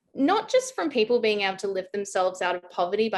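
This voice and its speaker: The speaker is a woman. She has an Australian accent. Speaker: blockchain consultant. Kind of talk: interview.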